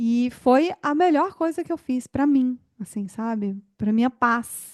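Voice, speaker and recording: Speaking in a high voice with lively intonation, a woman goes very slowly. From Goiás, Brazil (Goiânia). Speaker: podcast host. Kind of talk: interview conversation.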